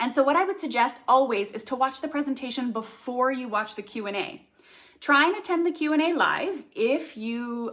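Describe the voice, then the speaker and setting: On a very clean recording with a silent background, a woman talks fairly quickly in a high voice with lively intonation. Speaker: craft YouTuber and summit host. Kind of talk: live stream talk. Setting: livestream. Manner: fast.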